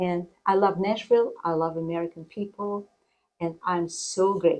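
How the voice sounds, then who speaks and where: Speaking at a very slow pace in a Russian accent, a woman uses a medium pitch with ordinary pitch variation. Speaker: artist and coach. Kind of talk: interview. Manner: animated.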